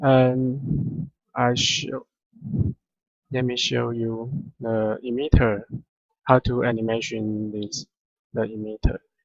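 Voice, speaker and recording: With a non-native accent, a man speaks at a very slow pace and a medium pitch, his intonation fairly even and his pauses long and frequent. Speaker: 3D software tutorial maker. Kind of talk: tutorial. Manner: halting, many fillers.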